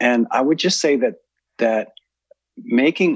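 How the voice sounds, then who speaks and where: A man is speaking. His pace is moderate. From US. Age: 60s. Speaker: author and ceremony leader. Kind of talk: interview.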